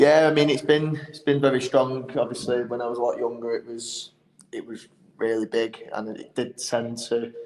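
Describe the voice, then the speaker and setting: This man has a Manchester accent and a medium pitch, speaking at a moderate pace. His intonation is fairly even, but his loudness swings widely. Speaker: band musician. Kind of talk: podcast interview.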